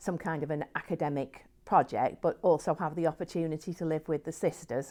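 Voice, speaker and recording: Here a woman with an English accent speaks at a fairly low pitch. The recording is very clean, with a silent background. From England. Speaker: nun. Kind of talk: interview testimony. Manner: halting, with fillers and restarts.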